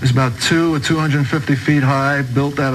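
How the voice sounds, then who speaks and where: The speaker talks in a New York accent with monotone, flat intonation. Room echo is audible, along with noticeable background noise. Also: man. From New York, Brooklyn. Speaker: converted ex-mobster giving testimony. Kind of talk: testimony.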